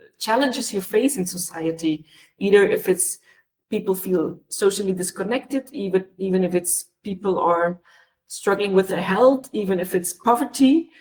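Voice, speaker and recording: A woman with a non-native accent, somewhat breathy, at a moderate pace. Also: medium pitch for a woman, ordinary pitch variation. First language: not English. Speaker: panelist, cultural sector worker. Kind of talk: webinar panel discussion. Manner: halting, many hesitations and repeats.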